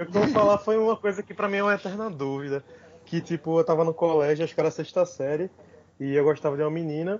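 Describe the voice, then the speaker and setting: Noticeable background noise sits behind a man's voice. He talks very fast at a high pitch with ordinary pitch variation. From Brazil, Recife. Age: 20s. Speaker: stand-up comedian. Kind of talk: casual chat.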